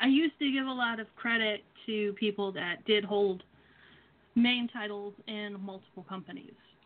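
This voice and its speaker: In a normal speaking voice, a woman talks at a moderate pace with a fairly high pitch, ordinary pitch variation and big swings in loudness. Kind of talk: casual banter, wrestling promo talk. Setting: phone call.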